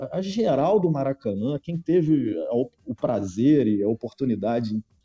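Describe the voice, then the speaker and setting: In a dry, close sound with no echo, a man with a dark, mellow tone speaks at a fairly slow pace, his pitch swinging very widely. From Niterói, Rio de Janeiro, Brazil. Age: 40s. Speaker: football fan guest. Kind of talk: casual chat.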